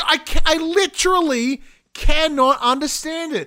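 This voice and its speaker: With an Australian accent, a man uses a raised, projected voice that is animated and bright and sharp in tone, speaking at a fairly slow pace in a very clean recording with a silent background. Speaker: gaming podcast co-host. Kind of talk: casual chat. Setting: live-streamed studio recording.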